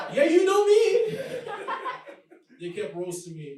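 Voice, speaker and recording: Fairly even intonation with a slight Nigerian accent, in audible room echo. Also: man. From Nigeria, Lagos. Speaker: comedian. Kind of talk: stand-up. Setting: stage with audience.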